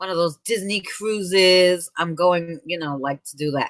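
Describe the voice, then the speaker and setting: In a New York accent, a woman speaks in an animated, bright, sharp tone with ordinary pitch variation. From New York City, Queens. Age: 30s. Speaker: live streamer. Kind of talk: casual chat.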